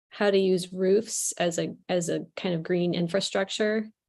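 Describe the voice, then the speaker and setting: The speaker talks at a fairly slow pace with a Midwestern accent. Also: woman. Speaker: planning commissioner. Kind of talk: public meeting discussion.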